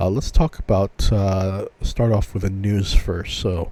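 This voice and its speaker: A man's fairly low, somewhat breathy voice with a dark, mellow tone, ordinary pitch variation and a fairly slow pace. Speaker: podcast host. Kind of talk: casual solo podcast. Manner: hesitant, many fillers.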